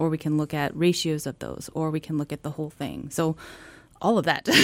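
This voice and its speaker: On a very clean recording with a silent background, a woman with an American accent speaks at a fairly quick pace in a very deep, low voice with a dark, mellow tone. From Washington State. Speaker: marine biology professor. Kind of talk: casual chat. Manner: animated.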